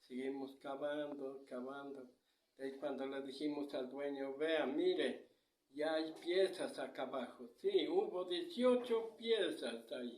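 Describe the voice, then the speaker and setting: The pace is very slow. The intonation is lively. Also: man, fairly high pitch for a man. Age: 70s. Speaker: grandfather interviewed about local traditions. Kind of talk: oral storytelling. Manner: halting.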